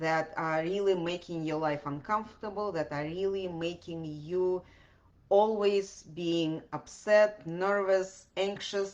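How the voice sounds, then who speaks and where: This woman has a fairly low pitch and fairly even intonation. She speaks at a very slow pace. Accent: Russian. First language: Russian. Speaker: podcast host. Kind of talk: podcast monologue answering questions. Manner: hesitant with many fillers.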